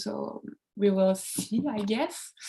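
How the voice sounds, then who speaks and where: A woman speaks with a French accent in a monotone, flat intonation. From France, Charente-Maritime. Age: 20s. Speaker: comics artist. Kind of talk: casual talk on a live stream. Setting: Instagram live video. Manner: halting, many fillers.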